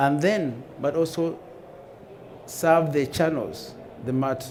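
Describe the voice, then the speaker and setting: A man with an African accent talks at a fairly high pitch, his intonation fairly even, with audible room echo and noticeable background noise. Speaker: conference speaker, airline data manager. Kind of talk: conference talk. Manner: halting.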